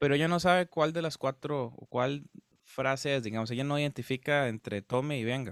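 A man's normal speaking voice, fairly high in pitch, at a fairly quick pace with ordinary pitch variation, in a dry, close sound with no echo. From Costa Rica, Guápiles. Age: 20s. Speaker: musician. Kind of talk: casual interview chat.

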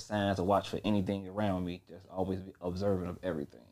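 A man's fairly low, flat monotone at a fairly quick pace, in a very clean recording with a silent background. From Chicago West Side. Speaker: rapper and record label owner. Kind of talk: casual interview chat.

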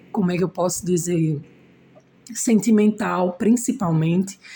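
This woman's voice sits at a medium pitch, somewhat breathy, with a dark, mellow tone. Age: 30s. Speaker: braider and single mother. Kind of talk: interview.

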